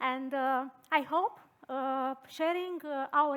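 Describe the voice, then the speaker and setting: A woman speaks high with a Romanian accent. Her pitch variation is ordinary. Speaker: design thinking consultant and researcher. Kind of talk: conference talk. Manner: halting.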